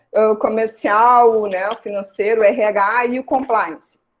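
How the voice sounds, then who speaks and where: This woman has an ordinary speaking voice, pitched fairly high. Her intonation stays fairly even. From southern Brazil, Rio Grande do Sul (Santa Maria). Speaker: criminal law scholar, guest lecturer. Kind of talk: online lecture.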